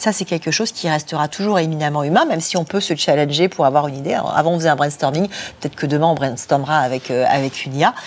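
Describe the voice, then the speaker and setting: A woman talks at a very fast pace in a very deep, low pitch with ordinary pitch variation. Noticeable background noise runs underneath. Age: 40s. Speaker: executive recruiter and future-of-work specialist. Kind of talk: interview at a student conference. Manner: repeats words when searching.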